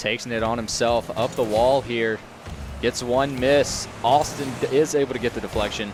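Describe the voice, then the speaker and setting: With music in the background, a man at medium pitch talks at a moderate pace. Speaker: esports shoutcaster. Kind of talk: live esports play-by-play commentary. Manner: energetic, fluent.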